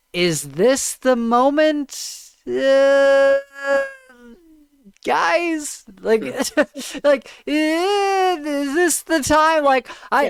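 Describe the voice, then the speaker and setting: A put-on character voice, high in pitch and quiet, moves at a very slow pace. Long, frequent pauses break it up. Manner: deadpan, hesitant, awkward.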